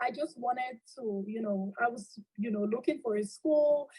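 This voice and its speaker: A woman talks with a Cameroonian accent and ordinary pitch variation. Her tone is dark and mellow, somewhat breathy. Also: dry, close sound with no echo. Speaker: accountant and alumna. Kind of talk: interview.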